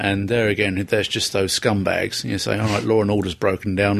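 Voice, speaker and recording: A man's fairly low voice, fairly quick pace, and flat, monotone intonation. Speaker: podcast host. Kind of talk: casual chat. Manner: playful, jokey.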